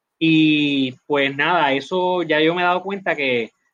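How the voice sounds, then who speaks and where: A man talks in a fairly high pitch with ordinary pitch variation. It is an ordinary speaking voice. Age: 40s. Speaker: company executive. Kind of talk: interview.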